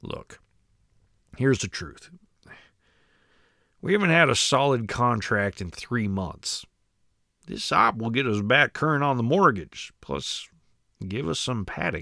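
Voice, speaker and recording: Putting on a character voice, a man speaks raspily at a medium pitch and a fairly slow pace, with very wide pitch swings and long, frequent pauses. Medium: read story. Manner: nervous.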